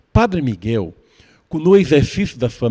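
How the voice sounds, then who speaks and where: Recorded with a dry, close sound and no echo, a man with a dark, mellow tone makes very wide pitch swings. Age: old. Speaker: TV interviewer. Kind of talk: TV interview and presentation.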